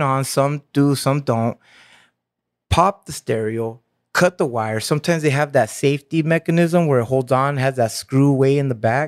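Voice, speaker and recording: A man with an ordinary speaking voice talks at a moderate pace in an American accent, his pitch fairly high for a man with ordinary variation, and the sound is dry and close with no echo. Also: very clean recording, silent background. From Santa Ana, Orange County, California. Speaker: convention organizer and creative. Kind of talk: casual interview chat.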